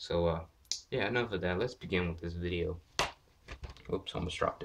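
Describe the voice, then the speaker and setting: Quietly and at a fairly quick pace, a man speaks in a very deep, low pitch with ordinary pitch variation. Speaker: gaming YouTuber. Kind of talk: casual vlog, game collection showcase. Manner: quiet, lowered voice; hesitant, many fillers.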